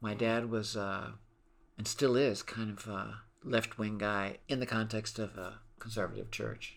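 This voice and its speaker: A man speaks slowly, his pitch fairly low. His voice has vocal fry and a flat, monotone intonation. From Brazil, interior of Pernambuco. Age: 60s. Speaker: musician. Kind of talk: interview conversation.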